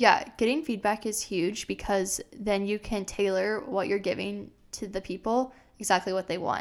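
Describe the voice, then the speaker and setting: Against a silent background on a very clean recording, a plain, everyday voice keeps a moderate pace with ordinary pitch variation. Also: woman, medium pitch for a woman. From Iowa, US Midwest. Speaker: podcast co-host, marketing-trained entrepreneur. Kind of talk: casual chat. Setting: studio microphone.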